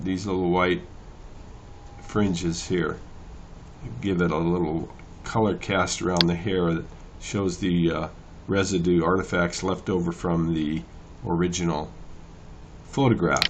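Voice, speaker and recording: A man speaks in a very deep, low pitch. Long, frequent pauses stand out, and there is audible room echo. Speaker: photo editing tutor. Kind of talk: tutorial. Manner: casual, hesitant with fillers; fast.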